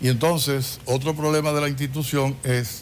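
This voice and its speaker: The pace is fairly slow. Room echo can be heard. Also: man. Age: 70s. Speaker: government official and physician. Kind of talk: TV interview.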